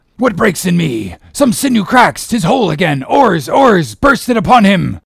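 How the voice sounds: In a put-on character voice, a man speaks at a moderate pace with a high pitch, big pitch swings, vocal fry and a slightly husky edge.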